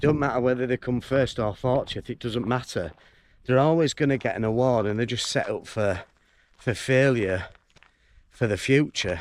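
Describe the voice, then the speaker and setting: A man with a Yorkshire accent talks at a medium pitch in a very clean recording with a silent background. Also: ordinary pitch variation, moderate pace. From northern England, York. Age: 40s. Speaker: vlogger. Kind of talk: casual vlog monologue while walking. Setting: outdoors, walking in fields.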